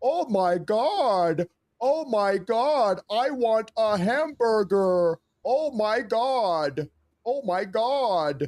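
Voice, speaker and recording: In a put-on character voice with an American accent, the speaker talks at a very slow pace and a fairly high pitch. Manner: exaggerated, excited, mocking.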